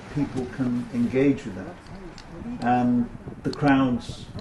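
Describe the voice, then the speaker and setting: A man speaks at medium pitch. Noticeable background noise runs underneath. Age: 70s. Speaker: retired professional with sight loss. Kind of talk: documentary interview answer.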